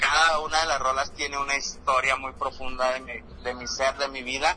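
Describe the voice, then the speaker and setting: Noticeable background noise around a male speaker at a moderate speed. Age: 20s. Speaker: rapper. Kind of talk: casual interview.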